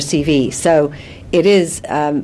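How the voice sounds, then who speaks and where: A woman's voice, with ordinary pitch variation, competes with noticeable background noise. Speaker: careers or workplace expert. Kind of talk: TV news interview answer.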